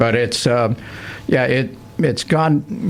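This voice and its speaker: Noticeable noise can be heard behind the voice. The speaker is a man. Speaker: radio hockey play-by-play broadcaster. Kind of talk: interview answer. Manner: casual, conversational.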